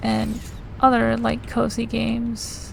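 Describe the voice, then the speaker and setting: A woman speaks quietly at a very slow pace. Noticeable background noise and audible room echo surround her. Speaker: video game streamer. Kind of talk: gameplay commentary. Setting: live stream. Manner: casual, hesitant with fillers.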